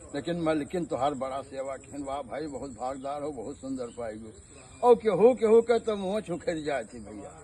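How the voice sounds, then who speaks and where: A fairly high-pitched man with a dark, mellow tone, very wide pitch swings and big swings in loudness. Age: 50s. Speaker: village storyteller. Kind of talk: folk storytelling.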